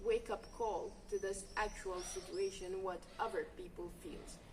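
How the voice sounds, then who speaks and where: A woman talks at a fairly slow pace against noticeable background noise. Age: young. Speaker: volunteer. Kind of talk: interview testimony.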